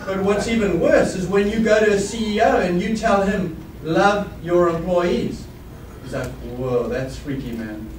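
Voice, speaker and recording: With audible room echo and noticeable background noise, a man speaks fairly slowly in a high pitch with lively intonation. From South Africa. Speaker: business executive. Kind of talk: keynote speech.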